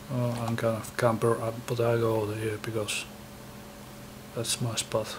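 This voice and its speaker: Speaking in a Finnish accent at a medium pitch and moderate pace, a man keeps a monotone, flat intonation with long, frequent pauses over noticeable background noise. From Finland. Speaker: gaming YouTuber. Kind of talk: casual gameplay commentary. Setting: home recording setup. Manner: halting.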